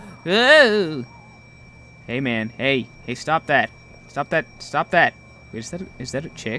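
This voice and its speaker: Very slowly and with long, frequent pauses, a fairly high-pitched man speaks with very wide pitch swings and big swings in loudness. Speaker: gaming YouTuber. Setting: solo recording while playing a game. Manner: animated, jokey, sarcastic; when reading the in-game text, slower and more measured, serious and formal. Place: home room. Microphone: headset.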